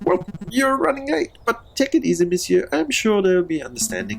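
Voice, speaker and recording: The put-on character voice sits at a middle pitch and moves at a fairly quick pace. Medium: actual play. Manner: warm, casual.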